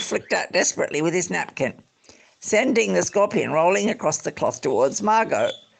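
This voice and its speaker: Speech here comes fairly quickly. It carries an Australian accent. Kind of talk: book reading aloud.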